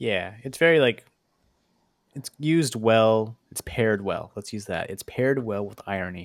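A man with a plain, everyday voice speaks at a moderate pace and medium pitch, with ordinary pitch variation and big swings in loudness. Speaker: podcast co-host. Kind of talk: casual chat.

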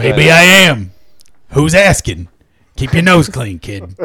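A man puts on a raspy character voice at a medium pitch. He speaks at a fairly slow pace, his pitch swinging very widely. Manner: tough, gruff.

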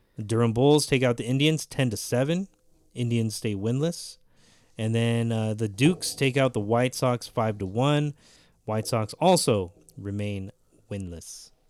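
A man with a plain, everyday voice, medium pitch and ordinary pitch variation at a fairly slow pace, on a very clean recording with a silent background. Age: 30s. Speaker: amateur baseball podcast co-host. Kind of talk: casual chat.

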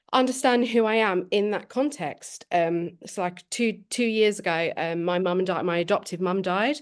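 A woman with a southern English accent against a quiet background. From England, Milton Keynes. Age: 30s. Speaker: PhD researcher. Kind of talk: panel discussion. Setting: video call.

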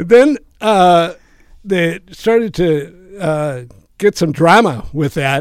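A man with an Upper Midwest accent and lively intonation. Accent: Upper Midwest American. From Minnesota (Rochester). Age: 70s. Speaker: retired teacher and playwright. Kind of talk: interview. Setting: studio.

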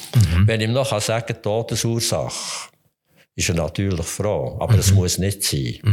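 With music in the background, a man in a Swiss German accent talks at a moderate pace, his fairly low pitch showing ordinary variation. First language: Swiss German (speaking German). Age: 70s. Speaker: physician, forensic medical examiner. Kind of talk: interview.

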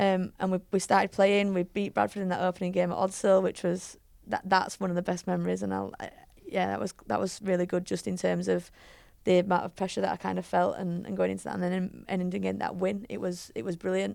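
A woman with a Yorkshire accent at a very fast pace. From Leeds, West Yorkshire, England. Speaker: rugby league head coach. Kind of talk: casual chat.

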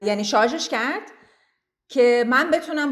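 A woman with a high pitch speaks at a moderate pace. Her voice makes very wide pitch swings. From Iran, Tehran. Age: 30s. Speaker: immigrant interviewee. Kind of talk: interview, personal story.

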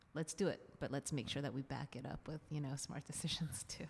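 Talking very fast in an American accent, a woman uses a very deep, low pitch with ordinary pitch variation and vocal fry. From Singapore and US (Florida). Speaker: physician and dance instructor. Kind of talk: casual interview.

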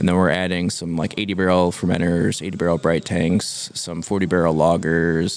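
A man's very deep, low voice with fairly even intonation, a moderate pace and hardly any pauses, over noticeable background noise. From upstate New York (near Syracuse). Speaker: brewer. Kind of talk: casual interview. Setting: beer bar.

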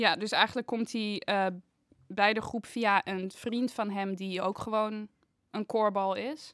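In a very clean recording with a silent background, a woman with a fairly high pitch speaks at a very slow pace with fairly even intonation. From Netherlands, Haarlem. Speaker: painting student. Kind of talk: casual chat.

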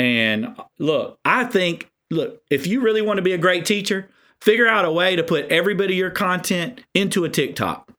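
A man with a Southern US accent uses a raised, projected voice at a high pitch and a moderate pace. His tone is bright and sharp, his intonation lively, and the recording very clean with a silent background. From South Carolina. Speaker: author and educator. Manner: animated.

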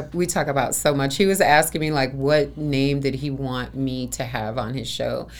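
Her voice is very deep and low, with vocal fry and fairly even intonation. The woman keeps a moderate pace with hardly any pauses. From Chicago. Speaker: massage therapist and event organizer. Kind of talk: casual interview.

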